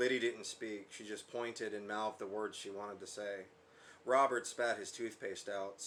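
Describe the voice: The speaker is doing plain reading aloud.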